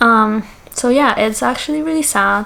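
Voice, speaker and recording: Noticeable background noise sits behind this recording. A woman speaks at a moderate pace with a fairly high pitch. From Austria. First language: German. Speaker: content creator. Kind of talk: casual Q&A vlog. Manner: hesitant, many fillers.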